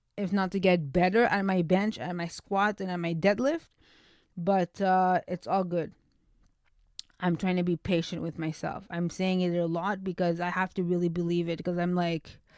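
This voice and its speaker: On a very clean recording with a silent background, a woman is speaking. She keeps a moderate pace and a flat, monotone intonation. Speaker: podcast host. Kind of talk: casual personal update. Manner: halting, stumbles on words.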